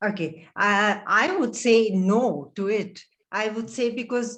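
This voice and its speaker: Her medium-pitched voice, that of a woman, carries fairly even intonation. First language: not English. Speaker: audiology professor, debate panelist. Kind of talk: panel debate Q&A.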